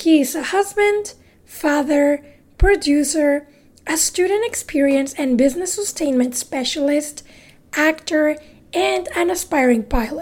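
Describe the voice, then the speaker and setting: With a Mexican accent, a woman speaks at a high pitch and a fairly slow pace. Her pitch varies in an ordinary way. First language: Spanish. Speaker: podcast host. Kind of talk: interview. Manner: giggly, laughs often.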